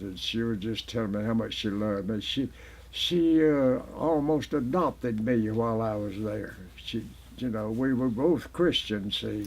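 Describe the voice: A man with a fairly low pitch speaks at a fairly slow pace. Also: ordinary pitch variation.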